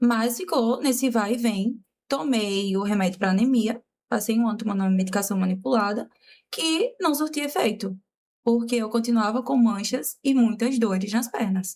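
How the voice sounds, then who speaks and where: This woman's voice is fairly high in pitch and somewhat breathy, with ordinary pitch variation. She keeps a moderate pace and very even loudness. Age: 20s. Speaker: makeup artist and teacher, patient. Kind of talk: casual interview, personal testimony.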